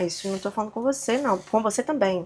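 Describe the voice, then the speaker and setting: A woman speaks at a fairly quick pace in a relaxed tone with lively intonation. Noticeable background noise runs underneath. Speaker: podcaster / vlogger. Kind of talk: casual monologue. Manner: relaxed, conversational.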